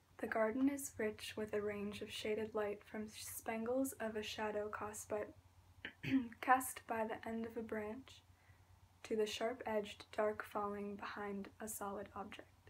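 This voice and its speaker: Soft-spoken and flat, a woman talks fairly slowly in a monotone. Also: fairly high pitch for a woman. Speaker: ASMR artist. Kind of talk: ASMR reading aloud.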